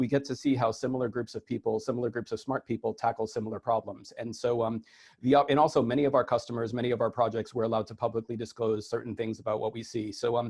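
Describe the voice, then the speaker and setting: A man speaks at a very fast pace and medium pitch, somewhat breathy, with fairly even intonation. The sound is dry and close, with no echo. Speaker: IT consultant giving conference keynote. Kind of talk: conference keynote talk. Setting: virtual conference over video call. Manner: hesitant, many fillers.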